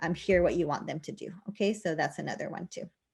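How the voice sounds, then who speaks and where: Against a quiet background, a woman speaks very fast. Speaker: teacher technology trainer. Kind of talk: tutorial.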